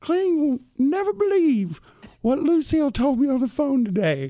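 A put-on character voice is performed at a high pitch. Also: moderate pace.

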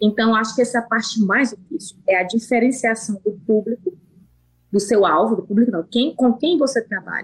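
A woman's fairly high, somewhat breathy voice at a moderate pace, with ordinary pitch variation. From Brazil, Piauí (Northeast). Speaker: pig farm manager, veterinarian. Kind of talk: interview.

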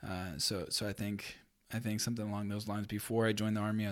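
A man's fairly low, monotone, flat delivery in a very clean recording with a silent background. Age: 30s. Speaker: army first sergeant. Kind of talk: casual interview. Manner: halting.

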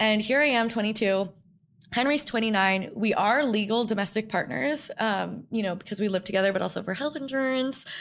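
A woman with an American accent has a plain, everyday voice, pitched fairly high. She talks at a fairly quick pace with ordinary pitch variation. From New York. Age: 20s. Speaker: podcast host. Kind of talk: solo reflective monologue. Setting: studio. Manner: casual, filler-heavy.

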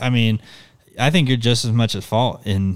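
A plain, everyday voice from a man, at a moderate pace with fairly even intonation. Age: 20s. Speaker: guest filling in for co-host. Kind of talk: casual chat.

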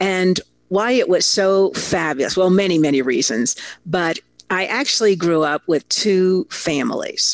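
A woman with an American accent and an unremarkable speaking voice, medium in pitch, fairly slow, very even in loudness, dry and close with no echo. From Italy (American family abroad). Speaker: storytelling consultant and keynote speaker. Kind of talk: interview.

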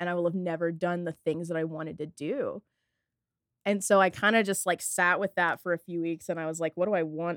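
Recorded with a dry, close sound and no echo, a woman with an American accent uses a plain, everyday voice, fairly low in pitch, speaking at a fairly quick pace with fairly even intonation. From rural North Texas near Fort Worth. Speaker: music journalist and poet. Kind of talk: casual interview.

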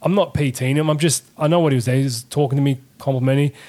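With an Australian accent, a man speaks at a fairly quick pace. His pitch is fairly high and his intonation fairly even. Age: 30s. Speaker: tradesman and podcast guest. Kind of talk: casual chat. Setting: studio.

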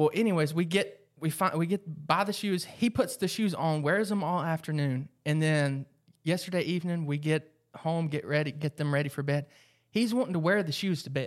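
A man with an American accent speaks in a plain, everyday voice, fairly high in pitch with ordinary pitch variation. His pace is moderate, and the recording is very clean with a silent background. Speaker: mom, podcast co-host. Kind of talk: casual chat.

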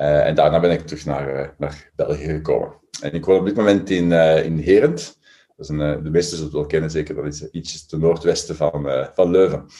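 With a very deep, low pitch and a dark, mellow tone, a man speaks at a fairly quick pace using fairly even intonation. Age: 40s. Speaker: psychology professor. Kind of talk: interview. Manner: halting, repeats words.

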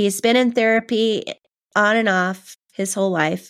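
A woman with a Californian accent speaks at a medium pitch and a very slow pace. The recording is very clean, with a silent background. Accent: General American, Californian. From US West Coast, Southern California. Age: 50s. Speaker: author. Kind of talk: interview, personal testimony.

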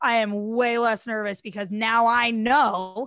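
A plain, everyday voice with an American accent and fairly even intonation, in a very clean recording with a silent background and a dry, close sound with no echo. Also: woman. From US Midwest. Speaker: DJ and TV personality. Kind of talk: casual interview chat.

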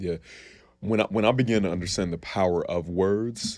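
A man's voice, very clean recording, background silent. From Columbus, Ohio. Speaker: sales and mindset coach. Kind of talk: podcast interview. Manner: animated.

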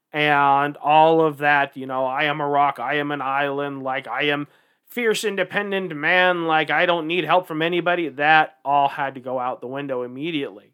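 A man's ordinary speaking voice, fairly high in pitch, at a moderate pace with fairly even intonation and hardly any pauses. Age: 40s. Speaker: podcast co-host. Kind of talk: casual chat.

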